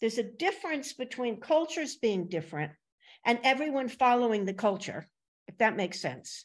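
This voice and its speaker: A high-pitched woman with a New Jersey accent swings very widely in pitch on a very clean recording with a silent background. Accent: American, New Jersey. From US Northeast, Princeton, New Jersey. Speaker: podcast host. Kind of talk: casual interview conversation.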